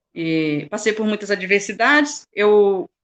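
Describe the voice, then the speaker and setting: Her tone is bright and sharp. The woman speaks at a fairly slow pace. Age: 40s. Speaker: motivational speaker. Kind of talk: testimony.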